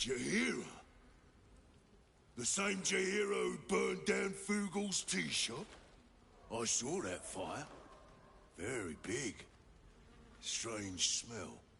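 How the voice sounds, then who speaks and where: Putting on a character voice at a medium pitch, a man speaks at a very slow pace with long, frequent pauses over clear background noise. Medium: video game. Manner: short clipped sentences, blunt.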